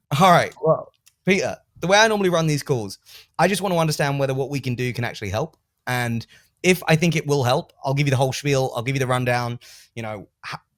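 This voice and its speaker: Talking very fast with lively intonation, a man with an English accent speaks at a fairly high pitch in a very clean recording with a silent background and a dry, close sound with no echo. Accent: English accent, noticeable. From England. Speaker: sales coach. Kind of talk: coaching session with role play.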